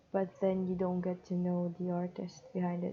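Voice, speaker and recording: Her fairly low pitch accompanies a very slow pace as the woman speaks. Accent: non-native. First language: not English. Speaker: digital artist. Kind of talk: unscripted monologue over drawing timelapse. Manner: halting, with pauses.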